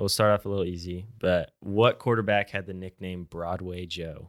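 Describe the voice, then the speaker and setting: In an American accent, a man with an unremarkable speaking voice and fairly low pitch talks at a moderate pace with big swings in loudness, the sound dry and close with no echo on a very clean recording with a silent background. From Tulsa, Oklahoma. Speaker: student podcast host. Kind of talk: trivia quiz; casual interview.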